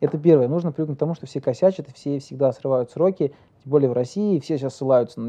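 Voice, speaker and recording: This man's fairly high voice races at a very fast pace, with ordinary pitch variation. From Kazakhstan (Uralsk). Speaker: entrepreneur. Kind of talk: interview. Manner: talkative.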